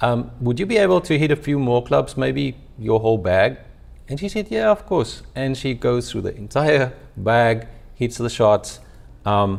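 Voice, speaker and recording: Speaking at a fairly slow pace in a South African accent, a man with medium pitch makes very wide pitch swings. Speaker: company founder and CEO. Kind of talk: webinar presentation, storytelling. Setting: live webinar.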